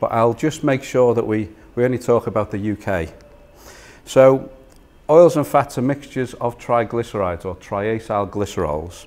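With a Liverpool accent, a man speaks at a moderate pace using lively intonation. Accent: Liverpool (Scouse). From northern England, Liverpool. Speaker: food industry innovation manager. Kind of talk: lecture. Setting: stage with audience. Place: meeting room.

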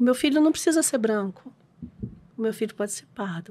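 A woman with a fairly high voice talks using lively intonation. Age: 60s. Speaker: adoption lawyer; guest. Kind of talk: casual interview. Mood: warm, earnest, lightly humorous. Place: studio. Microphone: studio mic.

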